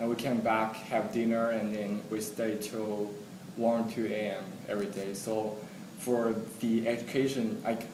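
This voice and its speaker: A man talks at a fairly slow pace with monotone, flat intonation and a medium pitch. Audible room echo and noticeable background noise fill the recording. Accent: Chinese. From China. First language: Chinese. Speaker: international student. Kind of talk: interview.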